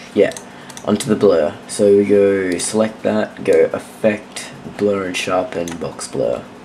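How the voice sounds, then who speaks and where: Against noticeable background noise, a man talks at a fairly low pitch. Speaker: video editing tutorial maker. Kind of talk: screen-recorded software tutorial. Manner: casual, hesitant, many fillers.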